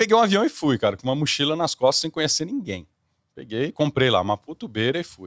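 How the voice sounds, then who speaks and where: Talking at a very fast pace, this man has a fairly high pitch with vocal fry, very wide pitch swings and big swings in loudness, recorded dry and close with no echo on a very clean, silent background. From Brazil. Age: 30s. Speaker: corporate executive and singer. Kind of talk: interview.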